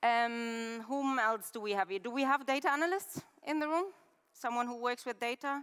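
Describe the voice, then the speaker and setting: A woman speaks in a German accent at a high pitch. Her pace is moderate, with ordinary pitch variation. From Germany. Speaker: head of UX research, conference speaker. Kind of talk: conference talk. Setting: stage with live and online audience. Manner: interactive, conversational.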